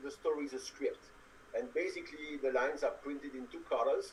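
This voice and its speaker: Moderately paced male speech with a strong French accent. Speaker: audio game app developer. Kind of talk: interview. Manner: hesitant, many fillers.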